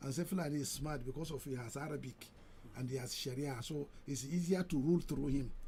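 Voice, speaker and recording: Speaking very fast, a man sounds somewhat breathy. His tone is dark and mellow. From Nigeria, Niger State (Badeggi, Nupe area). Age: 70s. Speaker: radio station chief executive. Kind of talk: radio interview. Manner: halting, repeats words.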